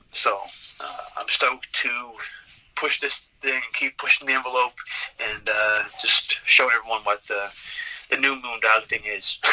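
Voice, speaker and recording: A man speaks at a fairly slow pace in a Newfoundland accent, with long, frequent pauses. Noticeable background noise runs behind him. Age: 30s. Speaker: pro wrestler. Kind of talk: interview. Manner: halting.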